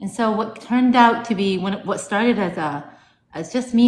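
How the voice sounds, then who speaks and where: A woman's somewhat breathy voice comes through with audible room echo. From United States, Lebanese family. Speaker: romance author. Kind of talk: casual interview.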